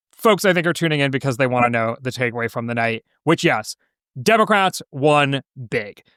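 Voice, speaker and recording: Recorded dry and close with no echo and a silent, very clean background, a man talks in a plain, everyday voice at medium pitch. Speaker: political podcast host. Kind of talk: late-night podcast discussion. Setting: podcast recorded after a five-hour livestream.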